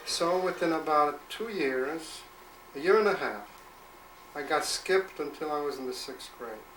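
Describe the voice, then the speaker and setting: A man with a fairly high voice speaks at a moderate pace with ordinary pitch variation and big swings in loudness, against audible room echo and noticeable background noise. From born in Poland/Russia, raised in the Bronx from age 13. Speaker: grandfather telling life story. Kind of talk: oral history interview. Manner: hesitant with repairs.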